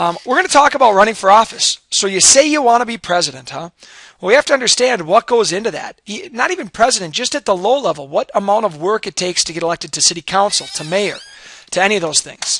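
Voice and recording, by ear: A man with a high, raspy voice talks fast, his tone bright and sharp and his intonation lively.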